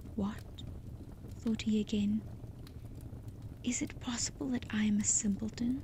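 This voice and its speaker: The pace is fairly slow. Long pauses come often. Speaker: storyteller. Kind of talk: sleep story reading. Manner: soft-spoken, slow.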